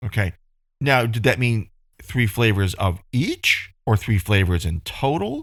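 This man has a plain, everyday voice and talks at a fairly slow pace with ordinary pitch variation. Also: medium pitch for a man. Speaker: podcast co-host. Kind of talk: casual chat. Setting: video call.

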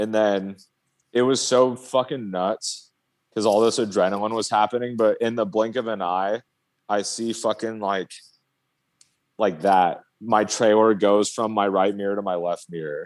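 Against a quiet background, a man with an American accent speaks at a fairly low pitch and moderate pace, with fairly even intonation and long, frequent pauses. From Oregon, US. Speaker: metal guitarist and truck driver. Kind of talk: casual chat.

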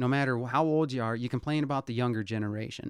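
A man speaks at medium pitch in a normal speaking voice, with ordinary pitch variation and a fairly quick pace. The recording is very clean, with a silent background. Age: 40s. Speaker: podcast host. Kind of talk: casual interview chat.

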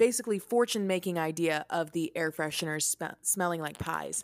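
A woman's unremarkable speaking voice, fairly low-pitched with ordinary pitch variation, at a moderate pace, with a dry, close sound with no echo, on a very clean recording with a silent background. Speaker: podcast co-host. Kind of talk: casual comedic chat.

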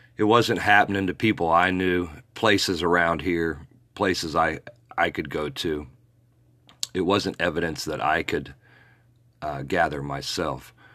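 A man's very deep, low voice with a bright, sharp tone and a Midwestern American accent, fairly slow with long, frequent pauses and ordinary pitch variation, on a very clean recording with a silent background. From Indiana. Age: 50s. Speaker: paranormal investigator and podcast host. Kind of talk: podcast monologue. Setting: recorded on location.

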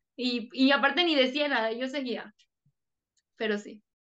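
Speaking fairly slowly, a woman uses a high-pitched voice. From Mexico. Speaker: Spanish teacher. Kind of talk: interview.

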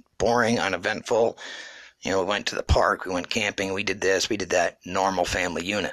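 Dry, close sound with no echo, and a man with a fairly low pitch talking at a fairly quick pace in a monotone, flat intonation. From New Hampshire. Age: 30s. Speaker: podcast host, storyteller. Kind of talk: personal storytelling monologue. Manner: unscripted, halting with fillers.

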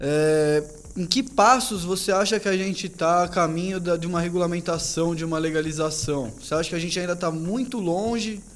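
With hardly any pauses, a man talks at a fairly quick pace. His voice is high, with ordinary pitch variation. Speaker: podcast co-host. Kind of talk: casual interview.

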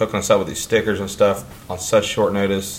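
In an American accent, a man speaks at a moderate pace with a fairly low, somewhat breathy voice. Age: 30s. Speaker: podcast host. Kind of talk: casual chat.

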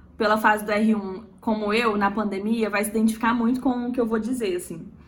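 There is audible room echo around a voice with fairly even intonation. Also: woman. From Minas Gerais, Belo Horizonte. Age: 20s. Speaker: emergency medicine resident. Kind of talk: casual chat.

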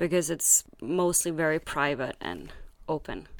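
With a Swedish accent, a woman speaks at a fairly slow pace in a fairly low pitch. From Sweden. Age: 20s. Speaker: podcast co-host. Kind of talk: casual chat.

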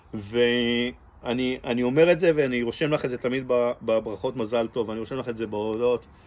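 Pitched at medium for a man, his voice moves at a fairly quick pace with ordinary pitch variation. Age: 40s. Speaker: blind balloon artist. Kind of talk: personal testimony interview.

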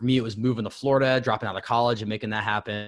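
Over a quiet background, a man speaks with a medium pitch and fairly even intonation. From Southern Ohio / West Virginia. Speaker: fitness coach. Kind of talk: casual chat. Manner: halting.

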